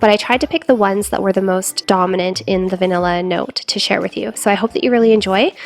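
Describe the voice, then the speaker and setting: Talking at a very fast pace with hardly any pauses, a woman keeps a medium pitch and ordinary pitch variation. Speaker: perfume reviewer. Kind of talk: casual talk to camera.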